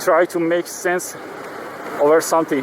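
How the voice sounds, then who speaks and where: A man's high voice in a Persian accent, monotone and flat at a moderate pace, over noticeable background noise. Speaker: vlogger. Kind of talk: casual vlog monologue. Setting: riding a motorcycle in traffic. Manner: halting, many fillers.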